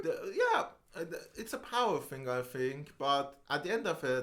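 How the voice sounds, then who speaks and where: A man with a non-native accent speaks at a moderate pace with lively intonation. Noticeable background noise runs underneath. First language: not English. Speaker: podcast co-host. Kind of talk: casual chat. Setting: podcast recording.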